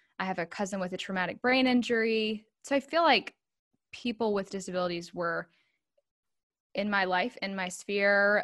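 On a very clean recording with a silent background, a woman with an American accent speaks at a moderate pace and medium pitch, with ordinary pitch variation, in an ordinary speaking voice. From North Carolina, Charlotte area. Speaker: transition consultant, former special educator. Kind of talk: casual interview chat.

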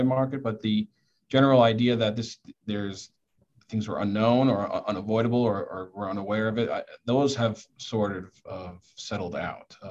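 A man's medium-pitched voice, a plain, everyday voice, at a moderate pace with fairly even intonation. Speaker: construction attorney. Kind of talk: panel discussion. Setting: video call.

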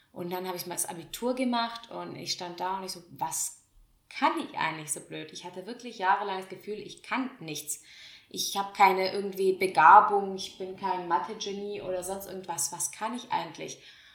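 A woman speaks at medium pitch with ordinary pitch variation. Her loudness swings widely, and her pace is moderate. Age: 20s. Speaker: podcast host. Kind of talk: casual monologue.

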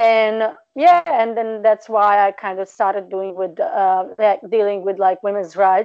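With a Serbian accent, the speaker moves at a fairly slow pace with hardly any pauses and ordinary pitch variation. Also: woman, medium pitch for a woman. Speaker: PhD researcher and tutor. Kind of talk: interview conversation. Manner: direct, straightforward.

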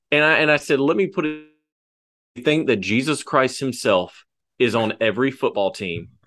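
With music playing in the background, a man speaks at a medium pitch with lively intonation. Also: moderate pace. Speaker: podcast host. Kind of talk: casual sports podcast chat.

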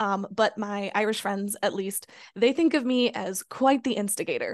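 A woman with a fairly high voice and ordinary pitch variation is heard over a quiet background. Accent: Chicago. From Chicago suburbs, US Midwest. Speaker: small business owner. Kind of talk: interview.

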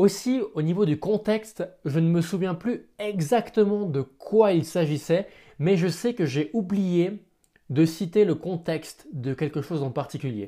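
Lively intonation in a dark, mellow tone at a fairly slow pace, on a very clean recording with a silent background. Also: man, high pitch for a man. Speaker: podcaster and hypnotherapist. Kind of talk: solo podcast monologue. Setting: at home. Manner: stumbling at times.

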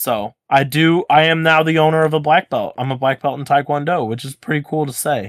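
A plain, everyday voice from a man, fairly high in pitch, with ordinary pitch variation, a fairly quick pace, hardly any pauses, and a dry, close, very clean recording over a silent background. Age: 20s. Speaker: podcast host. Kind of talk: casual chat. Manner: casual, profane.

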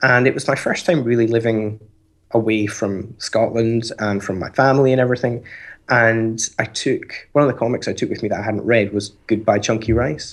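A man speaks at a moderate pace and a medium pitch, with fairly even intonation. He has a plain, everyday voice. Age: 30s. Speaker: comics podcaster. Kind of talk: casual chat. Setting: online call.

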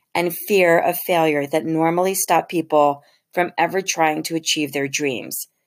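In a very clean recording with a silent background, a woman speaks in a plain, everyday voice, fairly low-pitched, at a moderate pace with fairly even intonation. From Philadelphia, US. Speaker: podcast host. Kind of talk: solo monologue.

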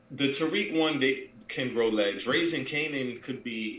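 With audible room echo, a man talks at a medium pitch, with ordinary pitch variation and a fairly bright tone.

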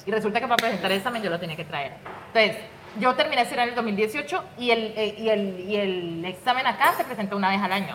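A woman speaks at a very fast pace with lively intonation and a fairly high pitch. Background noise is noticeable. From Colombia, Pradera, Valle del Cauca. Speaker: domestic worker. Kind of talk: interview. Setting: restaurant back room.

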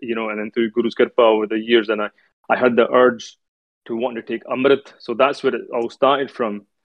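The pace is fairly quick as a man talks. He has a Scottish accent. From Scotland, Edinburgh. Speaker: Sikh speaker. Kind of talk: religious talk.

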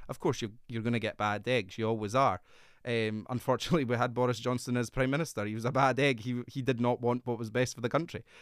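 A man with a Scottish accent talks at a very fast pace with fairly even intonation. The recording is very clean, with a silent background. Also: medium pitch for a man. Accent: Scottish (Fife). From Scotland, Fife. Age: 30s. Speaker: politician. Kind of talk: interview.

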